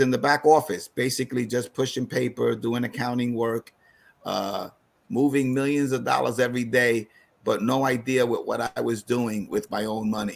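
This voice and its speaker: Intonation stays fairly even as a man talks in a New York accent. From New York City (East Harlem). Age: 60s. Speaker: financial advisor. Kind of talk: online seminar presentation. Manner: halting, many fillers.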